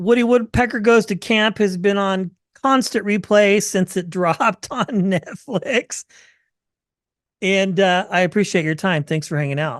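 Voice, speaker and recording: A woman with an ordinary speaking voice, medium in pitch with ordinary pitch variation, at a fairly slow pace, dry and close with no echo against a quiet background. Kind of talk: interview host.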